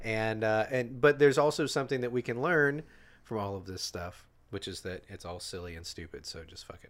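A normal speaking voice from a man, medium in pitch, at a fairly quick pace with lively intonation and big swings in loudness. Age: 40s. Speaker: comedian and musician. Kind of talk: casual chat.

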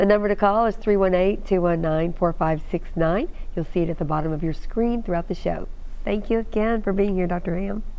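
A woman with an unremarkable speaking voice talks at a moderate pace in a medium pitch with ordinary pitch variation. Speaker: TV show host. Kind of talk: interview with caller questions. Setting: TV studio with phone-in calls.

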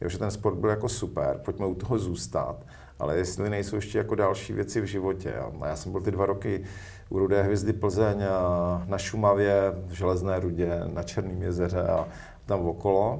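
A man with a fairly low pitch speaks at a moderate pace with fairly even intonation, sounding somewhat breathy against audible room echo. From Czechia, northern Moravia (Zábřeh). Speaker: education manager. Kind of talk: interview. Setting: studio. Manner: hesitant, many fillers.

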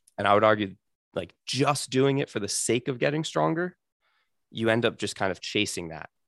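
A man with an unremarkable speaking voice at medium pitch talks at a moderate pace with lively intonation. The sound is dry and close with no echo, over a quiet background. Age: 20s. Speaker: physical therapist for grapplers. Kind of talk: casual interview.

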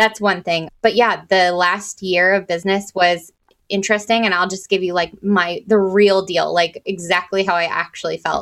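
In a very clean recording with a silent background, a woman talks at a moderate pace in a monotone, flat intonation, with hardly any pauses. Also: medium pitch for a woman. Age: 30s. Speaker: marketing consultant and record store owner. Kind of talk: podcast interview.

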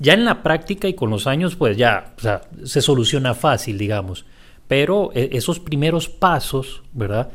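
Very wide pitch swings mark a man's fairly high, somewhat breathy voice. The recording is very clean with a silent background. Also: fairly slow pace. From Costa Rica. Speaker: podcast host and teacher. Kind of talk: interview.

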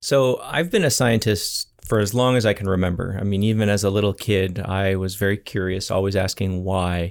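A man with a Canadian accent speaks in a plain, everyday voice at a fairly low pitch and a moderate pace, with fairly even intonation and hardly any pauses, on a very clean recording with a silent background. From Ontario, Canada. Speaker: scientist and startup founder. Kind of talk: interview.

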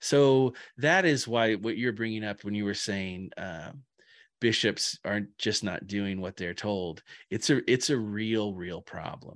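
Very clean recording, silent background: a man with a plain, everyday voice and an American accent speaks at a fairly low pitch. He talks at a fairly slow pace with ordinary pitch variation. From rural Indiana. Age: 40s. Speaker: pastor. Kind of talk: casual chat. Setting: home office.

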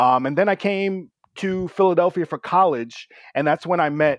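Here a man with a plain, everyday voice and an American accent talks at a fairly slow pace with ordinary pitch variation. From New York City, Brooklyn. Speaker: tech business co-founder. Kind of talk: casual interview. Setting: remote call.

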